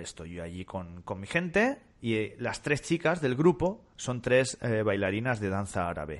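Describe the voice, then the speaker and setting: Against a quiet background, a man with a fairly low voice speaks at a moderate pace, his pitch swinging very widely. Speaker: podcast co-host. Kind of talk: casual chat.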